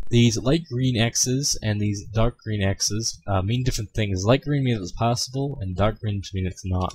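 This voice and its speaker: A somewhat breathy man's voice, fairly low in pitch, with ordinary pitch variation. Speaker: video game tutorial maker. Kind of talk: tutorial. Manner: fast; hesitant, many fillers.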